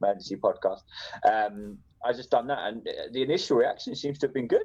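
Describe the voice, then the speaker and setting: Very fast, a man speaks with an English accent. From England. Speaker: podcast host, guest. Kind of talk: casual chat.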